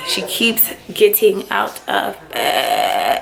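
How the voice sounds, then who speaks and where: Background noise is noticeable here. Through it, a woman's voice comes across. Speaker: vlogger and online teacher. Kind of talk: casual vlog. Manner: animated.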